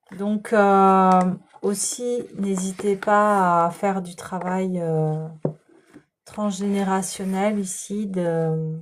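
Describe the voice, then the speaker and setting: This soft-spoken woman talks at a very slow pace. Her medium pitch stays monotone and flat. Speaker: tarot and energy reader. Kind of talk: spiritual guidance reading. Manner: soft-spoken, slow; hesitant, many fillers.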